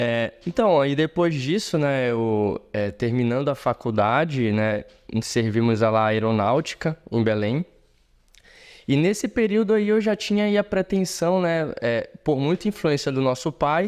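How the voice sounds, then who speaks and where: A man with a fairly high pitch makes very wide pitch swings. His loudness stays very even over a quiet background. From Brazil, Pará (Marabá). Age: 30s. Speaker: surgeon. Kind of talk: interview conversation.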